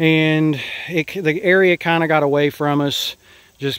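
Here a man speaks at a fairly slow pace with ordinary pitch variation. The sound is dry, with no echo. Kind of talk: casual vlog chat. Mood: relaxed, easygoing. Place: garden. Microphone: phone near.

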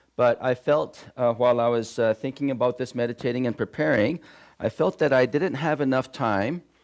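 The background stays quiet. A male speaker keeps a moderate pace. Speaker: pastor. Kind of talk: sermon. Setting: church. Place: church.

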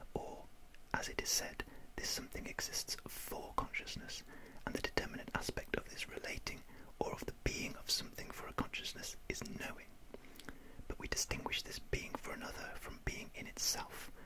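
At a moderate pace, a woman is whispering. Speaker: ASMR reader. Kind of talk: ASMR whispered reading of philosophy text. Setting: close microphone with windshield, studio. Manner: whispered, soft. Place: home room. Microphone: studio mic.

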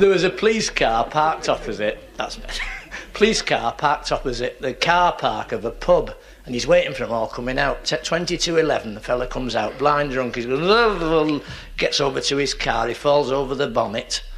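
Someone speaks at a moderate pace in a Lancashire accent. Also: man. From northern England. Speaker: stand-up comedian. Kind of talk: stand-up comedy routine. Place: stage.

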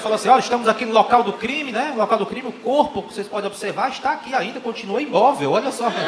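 Over noticeable background noise, a man with a Brazilian accent talks at a very fast pace with hardly any pauses. His voice is high-pitched and animated and playful in tone, with ordinary pitch variation. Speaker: stand-up comedian. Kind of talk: stand-up comedy. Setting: stage with audience. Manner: animated, playful, acting out dialogues; joke-driven, conversational, with punchlines. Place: stage. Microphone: handheld.

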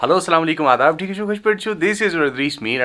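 The man's voice carries a bright, sharp tone.

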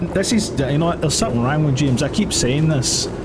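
A man speaks in a Scottish accent over loud background noise. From Scotland. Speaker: gaming streamer. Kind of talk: let's play commentary. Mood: amused, joking. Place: home room.

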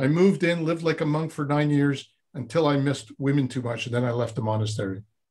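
Talking at a very fast pace, a man with a fairly high, somewhat breathy voice shows ordinary pitch variation. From Montreal, Quebec. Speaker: former Zen monk, personal development coach; personal development coach. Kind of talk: interview conversation. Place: studio. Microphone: video call.

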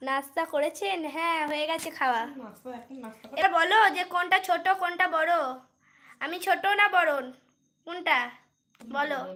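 A raised, projected, animated voice with a bright, sharp tone and ordinary pitch variation. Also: woman, extremely high pitch for a woman. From West Bengal, Bardhaman district. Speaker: live streamer. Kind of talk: casual live stream chat. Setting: livestream at home at night.

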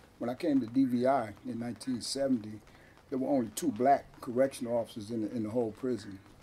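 With an American accent, a man talks very fast in fairly even intonation over light background noise. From Stockton, California; California. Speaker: former prisoner and activist. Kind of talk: interview. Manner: halting. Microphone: camera far.

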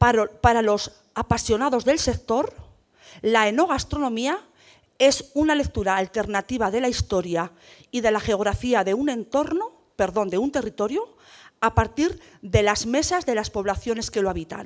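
With an ordinary speaking voice, a woman talks at a moderate pace and a fairly high pitch, using lively intonation over a quiet background. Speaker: debate moderator, rural development manager; panel moderator. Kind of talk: panel discussion moderation. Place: hall. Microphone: handheld.

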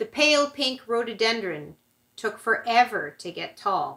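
A woman speaks at a fairly slow pace with a fairly high pitch and lively intonation. The background is quiet. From Canada. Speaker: church service leader. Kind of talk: poem reading aloud in a church service. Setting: online church service video. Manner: halting with filler words in the announcements. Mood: calm, gentle. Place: home room. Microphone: camera far.

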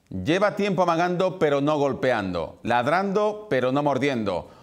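With an Andalusian accent, a man speaks at a moderate pace with very wide pitch swings against a quiet background. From Andalusia, Spain. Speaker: news presenter. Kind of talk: TV news editorial. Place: studio.

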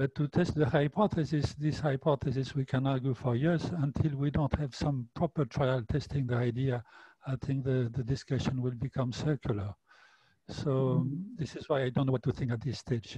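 Against a quiet background, a man talks at a moderate pace and medium pitch, his dark, mellow, somewhat breathy voice fairly even in intonation and dry with no echo. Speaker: nutrition researcher panelist; panelist. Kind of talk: academic panel discussion. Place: home room. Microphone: headset.

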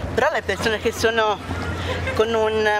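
Loud background noise surrounds a woman's voice. There is no echo, and the sound stays dry. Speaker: interviewee. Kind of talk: interview answer. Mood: sad, near tears. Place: street.

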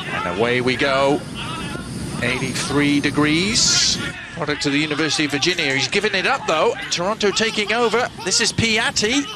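Crowd noise fills the background as a man talks with a fairly high pitch. His pitch swings very widely, yet his loudness stays very even. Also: moderate pace. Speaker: football commentator. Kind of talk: live football commentary. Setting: broadcast commentary for a match. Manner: fluent, clipped delivery.

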